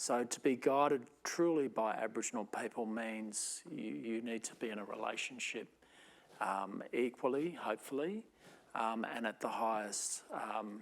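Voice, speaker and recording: Speaking in an Australian accent, a man talks at a moderate pace with medium pitch and ordinary pitch variation. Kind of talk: panel discussion. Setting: stage with audience, amplified speaker.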